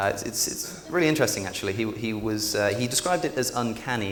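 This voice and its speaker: Very fast speech with noticeable background noise and audible room echo. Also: man. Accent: British. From England, Oxford. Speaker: public speaker. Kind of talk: conference talk. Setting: stage with audience. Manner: many fillers and repetitions.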